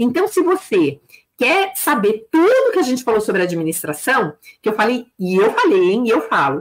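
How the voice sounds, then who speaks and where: A woman speaks at a moderate pace in a fairly high voice with vocal fry. Her pitch swings very widely. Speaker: business consultant and teacher for beauty salon owners. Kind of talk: live stream talk. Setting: live stream on YouTube and Instagram. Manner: animated.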